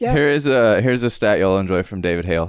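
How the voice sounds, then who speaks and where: A man is speaking. His pace is very fast. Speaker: podcast co-host. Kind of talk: casual banter, sports talk.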